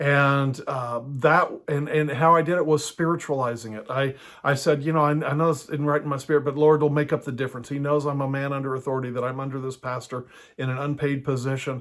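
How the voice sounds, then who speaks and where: With a monotone, flat intonation, a man talks at a fairly quick pace in a fairly high voice. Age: 60s. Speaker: house church pastor and teacher. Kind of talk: teaching talk.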